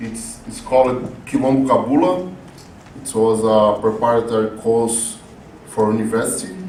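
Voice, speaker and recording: A man with a Brazilian Portuguese accent talks at a moderate pace and medium pitch, with ordinary pitch variation, big swings in loudness and long, frequent pauses. The recording has audible room echo and noticeable background noise. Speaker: community educator, activist. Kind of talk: conference lecture. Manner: halting.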